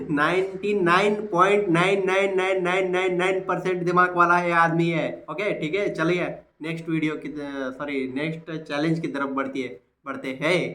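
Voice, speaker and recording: Audible room echo surrounds a man's high voice. His pitch varies in an ordinary way. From Maharashtra, India. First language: Marathi (speaking Hindi). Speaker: YouTuber. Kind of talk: casual commentary on puzzle video. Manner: animated.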